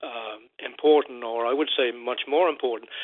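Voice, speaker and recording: At a moderate pace, a man talks in a Newfoundland accent with a medium pitch. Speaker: caller. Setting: phone call. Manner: halting.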